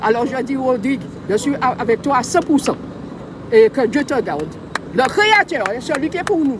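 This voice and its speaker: With crowd noise in the background, a woman speaks at a moderate pace in a high pitch with lively intonation. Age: old. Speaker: protest supporter. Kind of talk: emotional public testimony.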